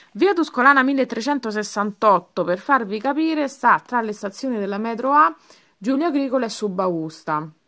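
In a very clean recording with a silent background, a woman speaks at a fairly slow pace with a fairly high pitch. Her tone is bright, sharp and animated, with very wide pitch swings. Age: 30s. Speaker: beauty vlogger. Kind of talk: casual haul video. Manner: halting.

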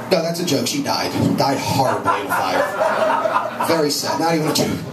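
A man at a moderate pace, over loud background noise. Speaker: stand-up comedian. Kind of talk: stand-up comedy routine. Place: cafe.

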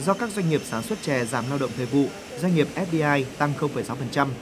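Using an ordinary speaking voice, a man speaks at a fairly quick pace with fairly high pitch and lively intonation. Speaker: news reporter. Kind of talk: news reading.

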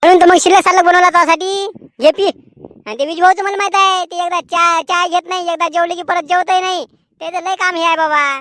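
An extremely high-pitched, cartoonish character voice. It moves at a moderate pace. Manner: folksy, colloquial rural Marathi.

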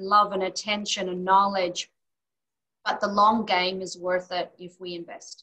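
A woman with an Australian accent speaks at a fairly slow pace in a bright, sharp tone, with monotone, flat intonation, big swings in loudness, and a quiet background. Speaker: occupational therapist; interview guest. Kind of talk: interview. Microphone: webcam.

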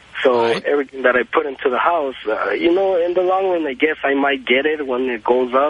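Fairly high male voice at a fairly quick pace, hardly any pauses, ordinary pitch variation and noticeable background noise. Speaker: caller, homeowner. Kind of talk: call-in radio chat. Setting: phone call. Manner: halting.

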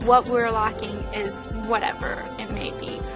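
A woman is speaking. Clear music plays behind her. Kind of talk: interview answer. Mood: warm, enthusiastic. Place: office. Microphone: lapel.

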